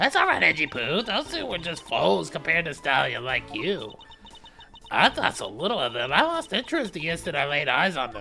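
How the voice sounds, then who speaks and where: This is a put-on character voice at a middle pitch, moving at a moderate pace. Clear background noise runs underneath. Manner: put-on, exaggerated.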